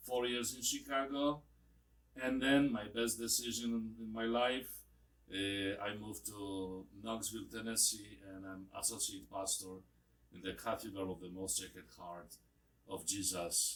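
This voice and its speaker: Speaking at a fairly slow pace with a Polish accent, a man keeps his intonation fairly even. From Poland. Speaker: priest. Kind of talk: interview. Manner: halting.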